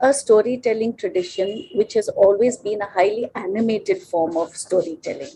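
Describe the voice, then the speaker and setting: In an Indian accent, a woman speaks at a moderate pace with a dark, mellow tone. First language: Konkani. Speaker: children's author and illustrator. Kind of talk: podcast interview.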